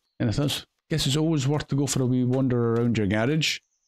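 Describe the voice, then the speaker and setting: In a Scottish accent, a man at medium pitch speaks with ordinary pitch variation in a dry, close sound with no echo. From Scotland. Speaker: gaming video creator. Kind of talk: game commentary. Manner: casual, chatty.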